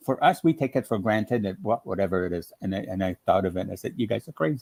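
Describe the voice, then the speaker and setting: Talking at a very fast pace, a man with a French Canadian accent uses lively intonation, and the sound is dry and close with no echo. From French-speaking Ontario, Canada. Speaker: quilting demonstrator. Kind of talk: casual chat.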